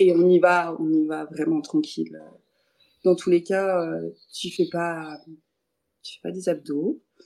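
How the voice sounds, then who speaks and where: Speaking at a very slow pace, a woman leaves long, frequent pauses, and her loudness swings widely. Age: 20s. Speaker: yoga teacher. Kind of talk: casual interview chat. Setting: video call.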